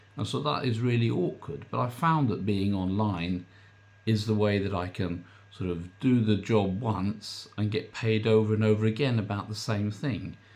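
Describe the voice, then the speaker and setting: This man talks at a moderate pace in a fairly low pitch. His pitch varies an ordinary amount. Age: 60s. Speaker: online business coach. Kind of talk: casual vlog talk. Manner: hesitant, filler-heavy.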